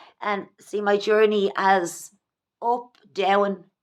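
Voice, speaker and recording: In a very clean recording with a silent background, a woman speaks at medium pitch with an Irish accent. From Ireland. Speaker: vlogger. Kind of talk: personal vlog monologue. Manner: halting.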